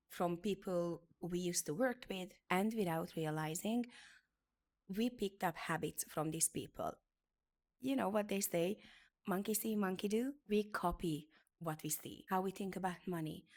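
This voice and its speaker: A woman with a Hungarian accent speaks at a medium pitch and a moderate pace. Her pitch varies in an ordinary way, and the recording is very clean with a silent background. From Hungary. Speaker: beauty business educator. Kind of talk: motivational talk.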